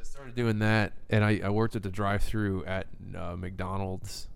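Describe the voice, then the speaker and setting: A man speaks at a fairly quick pace and fairly low pitch. His intonation is monotone and flat, and room echo is audible. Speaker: podcast co-host. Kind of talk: casual chat.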